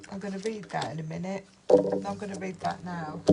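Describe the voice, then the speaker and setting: A woman talks. There is noticeable background noise. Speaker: tarot and oracle card reader. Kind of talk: oracle card reading with read-aloud guidebook text. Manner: loud.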